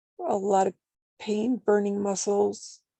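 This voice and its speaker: At a fairly slow pace, a woman with a medium pitch speaks in a dry, close sound with no echo. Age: 50s. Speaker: support group participant. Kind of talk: casual chat. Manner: halting.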